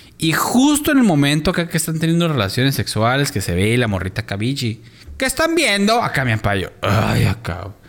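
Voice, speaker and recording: Over noticeable background noise, a man speaks fairly quickly at a fairly high pitch, his voice making very wide pitch swings. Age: 30s. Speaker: podcast co-host. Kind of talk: casual chat.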